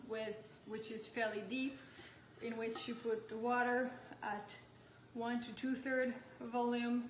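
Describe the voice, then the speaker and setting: Amid noticeable background noise and audible room echo, a woman with a French accent speaks at a moderate pace and a fairly high pitch in a monotone, flat intonation. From France. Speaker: nutrition health coach. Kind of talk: product demonstration.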